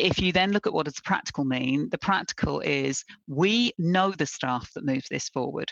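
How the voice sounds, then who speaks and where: A woman speaks at a moderate pace in an enthusiastic, animated tone with lively intonation. The sound is dry and close, with no echo. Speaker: diversity and inclusion expert. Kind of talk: interview, professional conversation. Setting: video call, remote.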